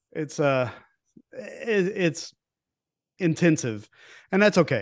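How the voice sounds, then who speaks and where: An Appalachian accent against a quiet background. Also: man. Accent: Southern US (Appalachian). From East Tennessee. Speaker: podcast host, nature photographer. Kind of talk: casual chat.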